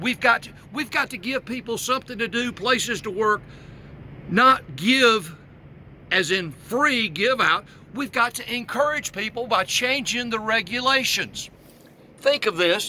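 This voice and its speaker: A man speaks in a raised, projected voice with a bright, sharp tone and an extremely high pitch. He goes at a fairly slow pace with ordinary pitch variation. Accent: Southern US. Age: 60s. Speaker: political candidate. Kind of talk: campaign video monologue. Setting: outdoors on the road.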